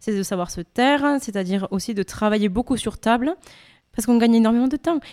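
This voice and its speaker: A woman at a fairly high pitch with ordinary pitch variation and a very fast pace, on a very clean recording with a silent background. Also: dry, close sound with no echo. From France. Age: young. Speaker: opera singer. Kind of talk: interview.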